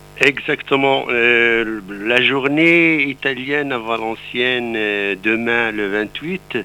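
The man speaks at a very slow pace. His pitch is medium. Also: ordinary pitch variation, hardly any pauses. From Morocco, Atlas mountains. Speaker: president of a workers' aid institute. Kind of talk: radio interview.

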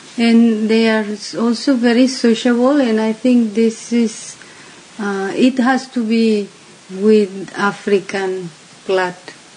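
A woman with a fairly high pitch talks at a very slow pace and fairly even intonation, with noticeable background noise behind her. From Mexico City. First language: Spanish (speaking Slovak). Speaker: interview guest. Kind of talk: interview.

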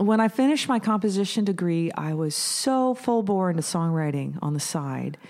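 A woman speaks at a moderate pace with an American accent. Her pitch swings very widely over noticeable background noise. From US Pacific Northwest, Washington state. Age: 50s. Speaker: musician and music teacher. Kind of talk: casual interview chat.

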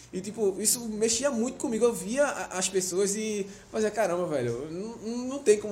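Through noticeable background noise, a man speaks at a high pitch with lively intonation. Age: 20s. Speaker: podcast host. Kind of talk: casual chat. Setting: on location in Fortaleza.

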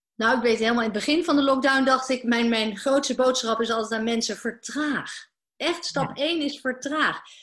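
With fairly even intonation, a woman speaks at a fairly quick pace in a high pitch. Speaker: business coach. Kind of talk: interview. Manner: halting.

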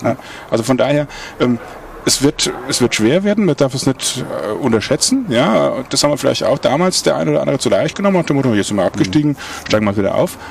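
Against noticeable background noise, a man rattles off words at a very fast pace. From Mainz, Rhine-Main area, Germany. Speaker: handball club manager, former player. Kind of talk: casual chat. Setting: outdoors at a pub.

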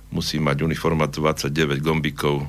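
Noticeable background noise around a man with a very deep, low pitch. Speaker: architect and choir singer. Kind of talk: radio interview. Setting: studio.

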